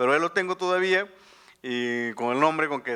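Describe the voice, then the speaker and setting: A man speaks in a bright, sharp tone with ordinary pitch variation. The recording is very clean, with a silent background. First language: Tu'un savi (Mixtec) (speaking Spanish). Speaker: journalist and author. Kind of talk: book presentation talk. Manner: halting, many fillers and restarts.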